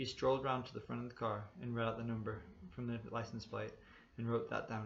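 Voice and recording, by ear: Fairly even intonation, reading aloud in a natural voice.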